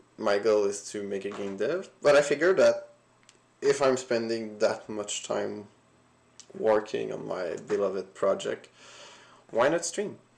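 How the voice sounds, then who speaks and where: Fairly slow speech in a non-native accent, broken by long, frequent pauses. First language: not English. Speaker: solo indie game developer streaming. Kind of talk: casual livestream commentary. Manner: halting, many fillers.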